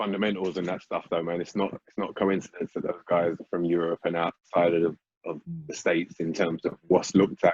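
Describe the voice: This man has a low pitch with a slightly husky edge and ordinary pitch variation. He talks at a fairly quick pace, and the sound is dry and close with no echo.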